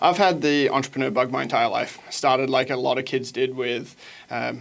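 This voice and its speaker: Talking at a very fast pace, a man keeps a medium pitch. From Australia, Sunshine Coast. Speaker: small business consultant. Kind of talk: interview.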